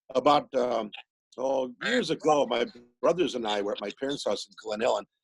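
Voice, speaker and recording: An ordinary speaking voice: a man with an American accent at medium pitch talks at a moderate pace with ordinary pitch variation, in a dry, close sound with no echo. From US Midwest, Milwaukee. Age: 60s. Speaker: musician and author. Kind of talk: casual interview chat.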